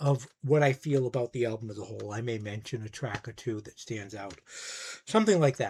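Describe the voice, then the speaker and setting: Speaking at a fairly quick pace, a man sounds somewhat breathy, his loudness swinging widely while his pitch varies in an ordinary way. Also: medium pitch for a man. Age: 60s. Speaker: music YouTuber, record collector. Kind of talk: casual monologue review.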